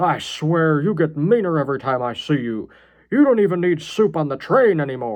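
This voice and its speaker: Using a put-on character voice, a man speaks at a fairly high pitch and a moderate pace with very wide pitch swings. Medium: read story.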